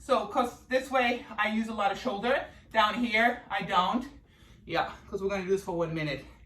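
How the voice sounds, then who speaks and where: The delivery is energetic and animated, moving at a moderate pace. Noticeable background noise runs underneath. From Germany. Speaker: fitness instructor. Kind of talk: live workout instruction. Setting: live video call from home studio. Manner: energetic, animated.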